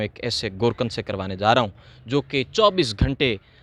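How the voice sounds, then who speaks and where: A man's medium-pitched voice has a bright, sharp tone, heard dry and close with no echo. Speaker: YouTube interviewer. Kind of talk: interview questions and introduction to camera.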